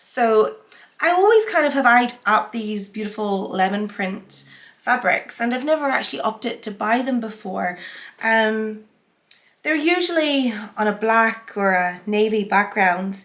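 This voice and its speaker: A woman with a Northern Irish accent speaks at a fairly slow pace in a fairly high pitch, her intonation lively. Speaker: sewing vlogger. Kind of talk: casual haul vlog.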